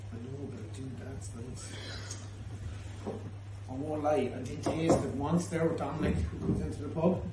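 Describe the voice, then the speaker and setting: Amid loud background noise and audible room echo, a man talks at a fairly quick pace. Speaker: pub host presenting the tasting. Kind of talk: casual tasting banter. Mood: jokey, laughing. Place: bar. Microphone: phone near.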